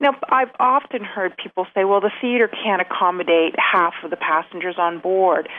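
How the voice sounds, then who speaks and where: With a normal speaking voice, a woman talks at a medium pitch and a moderate pace, hardly pausing and varying her pitch in an ordinary way. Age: 40s. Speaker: cruise reviewer and fan page runner. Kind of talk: interview.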